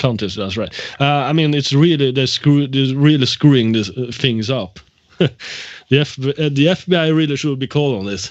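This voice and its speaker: This man's fairly high-pitched voice moves along at a moderate pace. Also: ordinary pitch variation. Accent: Swedish. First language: Swedish. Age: 30s. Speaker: prank call victim. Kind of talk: phone conversation. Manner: halting.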